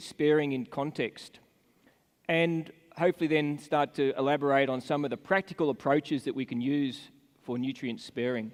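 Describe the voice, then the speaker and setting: Dry, close sound with no echo from a man in an Australian accent. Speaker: animal nutritionist, conference speaker. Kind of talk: conference presentation.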